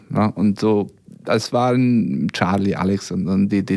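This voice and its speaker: A man's fairly low voice with a Hungarian accent, very slow, in fairly even intonation. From Serbia (Hungarian minority, former Yugoslavia). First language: Hungarian (speaking German). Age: 50s. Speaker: violinist. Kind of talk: radio interview. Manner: hesitant, many fillers.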